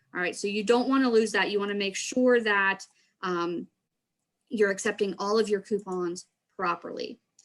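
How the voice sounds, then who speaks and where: A woman talks at a moderate pace and medium pitch. She leaves long, frequent pauses. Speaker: extension trainer. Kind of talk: training presentation. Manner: animated.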